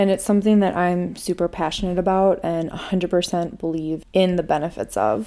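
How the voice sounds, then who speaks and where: A woman speaks with a strong Minnesota accent. Her tone is dark and mellow. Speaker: podcast host. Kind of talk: personal monologue.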